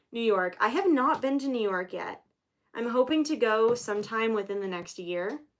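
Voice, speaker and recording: Speaking at a fairly quick pace, a woman with an American accent uses an unremarkable speaking voice, fairly high in pitch, with lively intonation. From Florida, US South. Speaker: live-streaming sign painter. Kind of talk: casual livestream chat.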